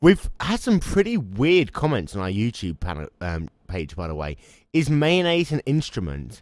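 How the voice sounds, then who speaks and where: There are big swings in loudness as a man talks at a moderate pace. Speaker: podcast co-host. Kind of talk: casual podcast talk.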